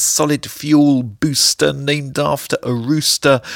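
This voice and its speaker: The speaker has an English accent and talks at a very slow pace, on a very clean recording with a silent background. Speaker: poet. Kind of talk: comic spoken-word poem performance, rhyming wordplay. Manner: playful, sing-song tongue-twister rhythm; animated, absurdist comic delivery.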